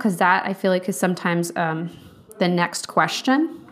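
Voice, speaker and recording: A woman with an American accent speaks at a fairly quick pace against noticeable background noise. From Virginia, US (Charlottesville). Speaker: podcast host, nutrition coach. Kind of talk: solo podcast monologue. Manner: casual, unscripted with frequent fillers.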